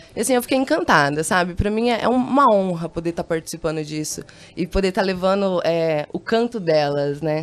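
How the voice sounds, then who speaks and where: Lively intonation comes at a fairly quick pace. Noticeable background noise is audible. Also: woman, fairly low pitch for a woman. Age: 20s. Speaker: hip hop singer. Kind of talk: radio interview. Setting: radio studio.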